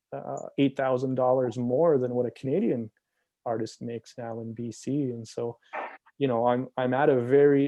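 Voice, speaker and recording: Monotone and flat, a man delivers his words at a moderate pace with a medium pitch. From Okanagan, British Columbia, Canada. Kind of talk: panel discussion on video call. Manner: hesitant, with frequent fillers and repeated words.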